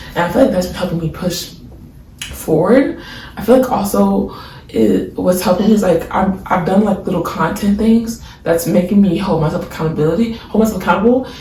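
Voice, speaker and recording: The speaker talks at a fairly quick pace in an animated tone over noticeable background noise. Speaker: video diarist and artist. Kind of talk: casual video journal monologue. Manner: fast.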